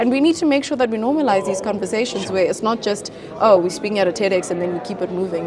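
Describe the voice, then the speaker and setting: A woman talks with a South African accent. Noticeable background noise runs beneath her. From South Africa, Limpopo. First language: Venda. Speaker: model, beauty pageant titleholder, mental health advocate. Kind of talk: interview answer.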